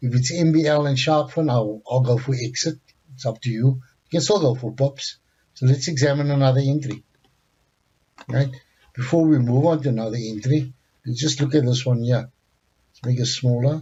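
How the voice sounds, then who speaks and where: A man's somewhat breathy voice at medium pitch, moderate pace, fairly even intonation, and long, frequent pauses. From South Africa. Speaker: forex trading instructor. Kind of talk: tutorial.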